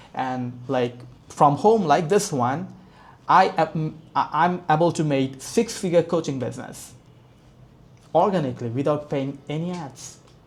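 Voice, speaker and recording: A man talks at a fairly slow pace with a non-native accent. His voice is somewhat breathy. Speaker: business coach. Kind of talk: tutorial. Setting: home, screen share. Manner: soft-spoken; halting, with fillers.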